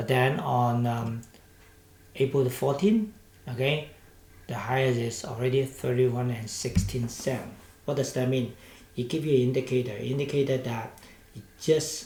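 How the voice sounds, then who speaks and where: Amid audible room echo, a man with a Hong Kong accent talks at a medium pitch and a fairly slow pace, his intonation fairly even. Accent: Hong Kong Cantonese-accented English. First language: Cantonese. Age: 60s. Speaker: stock market commentator. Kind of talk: market analysis commentary. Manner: hesitant, with many fillers.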